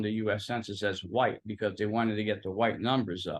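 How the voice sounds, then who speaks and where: A man with a Philadelphia accent at a moderate pace. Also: quiet background. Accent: Philadelphia American. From Philadelphia, US. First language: Italian. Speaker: guest, social media personality. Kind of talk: interview, casual chat.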